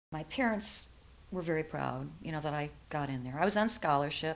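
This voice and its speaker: A woman with an American accent speaks at a moderate pace in a very deep, low voice with vocal fry. Her pitch varies in an ordinary way. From western New York (near Buffalo). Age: 60s. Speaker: interviewee, mentor. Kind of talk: interview, life story.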